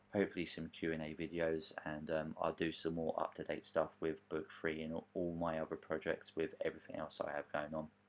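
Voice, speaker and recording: A man's very deep, low voice in a British accent, flat and monotone, at a moderate pace. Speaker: author and gaming podcaster. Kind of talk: casual voiceover commentary over gameplay. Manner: casual, hesitant with fillers.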